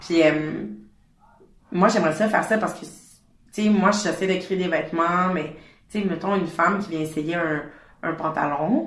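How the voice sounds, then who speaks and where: A woman with a Quebec accent, fairly low pitch and fairly even intonation, at a moderate pace with long, frequent pauses, amid audible room echo. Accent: Québécois French. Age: 20s. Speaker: fashion brand founder. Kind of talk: casual interview. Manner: hesitant, many fillers.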